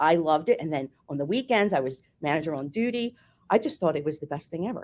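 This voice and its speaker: A very fast pace in a Philadelphia accent. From US, Philadelphia. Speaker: former hotel marketing executive. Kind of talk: interview.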